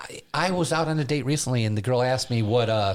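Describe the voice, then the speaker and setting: A man with lively intonation, heard over noticeable background noise. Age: 60s. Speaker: podcast host and stand-up comedian. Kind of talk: casual chat.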